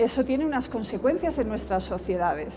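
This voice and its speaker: A woman speaks in a Castilian accent with lively intonation. Audible room echo and noticeable background noise fill the recording. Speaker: education professor. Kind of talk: lecture. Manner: soft-spoken.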